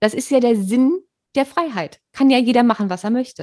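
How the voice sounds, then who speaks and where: With a dark, mellow tone, a woman talks at a fairly quick pace in a dry, close sound with no echo. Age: 30s. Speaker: podcast host. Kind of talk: casual chat. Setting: video call.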